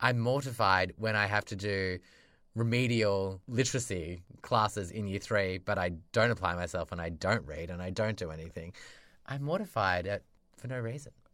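An Australian-accented man with a fairly low pitch and a bright, sharp tone, at a moderate pace, on a very clean recording with a silent background. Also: ordinary pitch variation. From rural Australia. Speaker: podcast co-host. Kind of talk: casual chat. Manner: animated.

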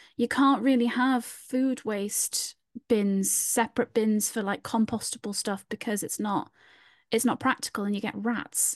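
With a Newcastle accent, a woman speaks fairly slowly at a fairly high pitch. Her intonation is fairly even, and the sound is dry and close with no echo. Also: quiet background. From Newcastle, northern England. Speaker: podcast host. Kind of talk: casual chat.

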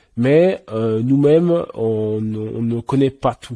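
Dry and close with no echo, a man's dark, mellow voice moves at a very slow pace. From Switzerland. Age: 20s. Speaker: app co-founder. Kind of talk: interview.

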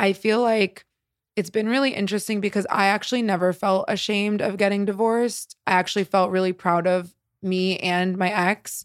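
A woman with a medium pitch talks at a moderate pace in a flat, monotone way, her loudness very even, on a very clean recording with a silent background and a dry, close sound with no echo. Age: 20s. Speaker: candy brand founder and DJ. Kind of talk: casual chat.

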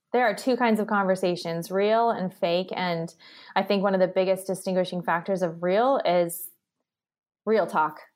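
A woman's normal speaking voice at a moderate pace, very even in loudness and fairly even in intonation, on a very clean recording with a silent background. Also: medium pitch for a woman. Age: 30s. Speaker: entrepreneur and company founder. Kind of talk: casual chat.

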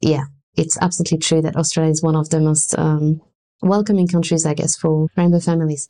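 A woman talks at a very fast pace in a very deep, low voice. Her intonation is monotone and flat, and her loudness stays very even. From France. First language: French. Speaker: arts and culture worker, mother. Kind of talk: interview conversation.

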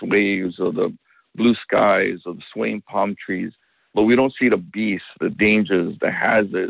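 A man with a Hawaiian accent at a moderate pace. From Makaha, Oahu, Hawaii. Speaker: surfer and ocean safety expert. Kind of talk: interview.

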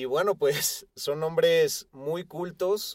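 A man with a Mexican accent and lively intonation. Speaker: rock podcast co-host. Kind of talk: casual chat.

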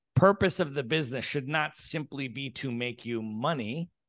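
With an American accent and an ordinary speaking voice, a man of fairly high pitch talks at a moderate pace with ordinary pitch variation, in a dry, close sound with no echo and a quiet background. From United States. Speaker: real estate entrepreneur. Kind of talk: interview.

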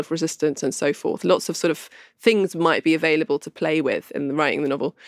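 A woman with a southern English accent, very fast, fairly low-pitched with ordinary pitch variation, in a dry, close sound with no echo and a very clean recording with a silent background. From London. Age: young. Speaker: novelist. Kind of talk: interview.

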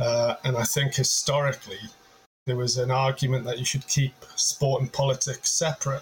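Medium pitch from a man, a moderate pace, and clear background noise around him. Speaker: commentator. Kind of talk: panel debate. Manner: hesitant, filler-heavy.

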